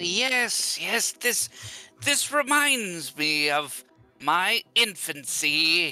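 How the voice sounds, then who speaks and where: A man uses a put-on character voice with a high pitch and very wide pitch swings. He speaks at a very slow pace. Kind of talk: in-character roleplay. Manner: musing, curious, mildly grand.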